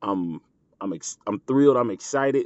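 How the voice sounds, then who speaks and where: A man speaks in an animated tone at a moderate pace, with ordinary pitch variation. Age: 30s. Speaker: podcast host. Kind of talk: motivational podcast monologue.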